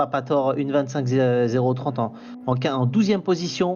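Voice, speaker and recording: With ordinary pitch variation and a medium pitch, the man talks at a moderate pace. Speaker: co-commentator. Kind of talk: live race commentary.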